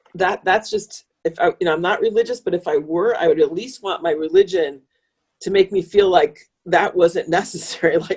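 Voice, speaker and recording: With an American accent, a woman talks in an unremarkable speaking voice at medium pitch, with fairly even intonation and a moderate pace. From US Midwest, northern Illinois. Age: 60s. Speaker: author and wolf conservationist. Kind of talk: podcast interview.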